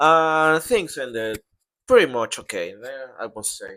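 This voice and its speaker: A man with a non-native accent and a fairly high pitch, bright and sharp in tone, in a very clean recording with a silent background. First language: Portuguese. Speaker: vlogger. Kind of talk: casual vlog narration. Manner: halting.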